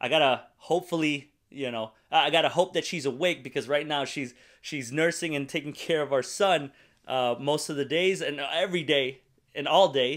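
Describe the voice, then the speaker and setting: A man's fairly even intonation carries his words along at a moderate pace. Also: quiet background. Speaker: online preacher. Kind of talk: sermon. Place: home room. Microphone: studio mic.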